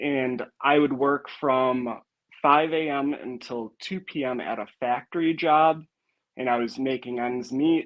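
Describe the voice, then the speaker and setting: A man with a Wisconsin accent, medium in pitch, fairly slow and fairly even in intonation. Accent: Wisconsin accent, noticeable. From northern Wisconsin. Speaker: log home refinishing contractor. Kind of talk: casual interview.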